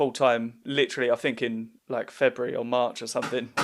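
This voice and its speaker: A man speaks with an Essex accent. His pace is fairly quick, with ordinary pitch variation. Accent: Southend Essex. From Essex, England (Southend). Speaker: comedian and podcast host. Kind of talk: casual chat.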